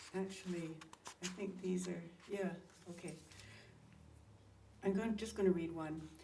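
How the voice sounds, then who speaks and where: Amid noticeable background noise, a woman talks at a moderate pace with monotone, flat intonation and long, frequent pauses. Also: medium pitch for a woman. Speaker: poet. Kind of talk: casual introduction to a live poetry reading.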